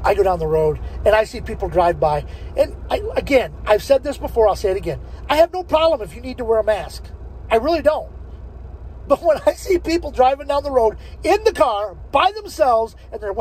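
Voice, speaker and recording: A man talking at a fairly quick pace, dry sound with no echo. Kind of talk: casual vlog chat. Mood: joking, laughing often. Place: car. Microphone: phone near.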